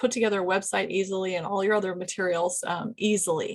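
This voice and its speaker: At a fairly quick pace, a woman delivers her words in a medium pitch with monotone, flat intonation. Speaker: business consultant and podcast host. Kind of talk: solo video podcast, advice talk. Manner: fast; casual, many fillers.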